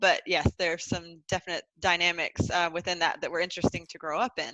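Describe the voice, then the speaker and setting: Over a quiet background, a woman with a Southern US accent speaks at a fairly low pitch and a moderate pace, her bright, sharp tone held to a monotone, flat intonation in a dry, close sound with no echo. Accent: American Southern. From US South, North Carolina. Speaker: transformational coach. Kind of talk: podcast interview.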